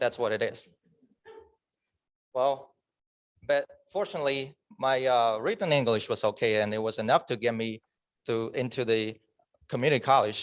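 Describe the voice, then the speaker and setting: With a non-native accent, a man of medium pitch talks at a moderate pace with ordinary pitch variation and long, frequent pauses. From China. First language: Chinese. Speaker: club member giving a speech. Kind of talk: prepared speech. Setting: club meeting in person, also on Zoom.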